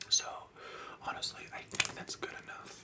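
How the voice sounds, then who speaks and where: A man is whispering. Noticeable background noise sits behind him. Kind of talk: ASMR whispered get-ready-with-me tutorial. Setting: close-up microphone, indoors. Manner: whispered, soft-spoken.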